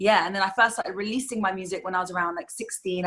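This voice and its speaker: A woman's bright, sharp tone. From London, England. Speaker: singer-songwriter. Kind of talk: interview.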